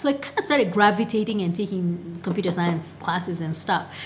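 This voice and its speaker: There is noticeable background noise as a woman speaks at a fairly quick pace with a medium pitch. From Kenya, Nakuru. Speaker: startup co-founder. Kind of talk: interview. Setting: studio.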